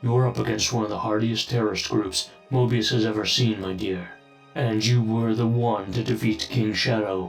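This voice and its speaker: Faint music plays in the background while a man does a put-on character voice. He keeps a medium pitch and a moderate pace. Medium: audio drama. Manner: calm, paternal.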